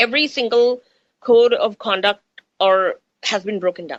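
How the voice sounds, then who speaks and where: A woman with an American accent speaks in a fairly high, bright, sharp voice with lively intonation. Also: dry, close sound with no echo. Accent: Indian accent shifting toward American. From India. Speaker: radio host. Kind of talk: radio talk, spiritual chat. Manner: animated.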